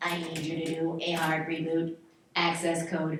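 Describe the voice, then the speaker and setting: A put-on character voice at a middle pitch, delivered at a moderate pace. The intonation is flat and monotone, with a slight echo. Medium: stage play.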